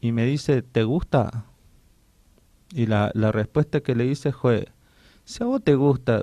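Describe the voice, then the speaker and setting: Very cleanly recorded against a silent background, a man speaks at a medium pitch and fairly slow pace with fairly even intonation and a dark, mellow tone, the sound dry and close with no echo. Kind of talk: radio interview. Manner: halting, with many restarts.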